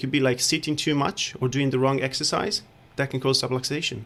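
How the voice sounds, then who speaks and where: A man speaks with an Italian accent at a medium pitch. The recording is very clean, with a silent background. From Italy. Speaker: chiropractor. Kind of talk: radio interview. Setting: studio.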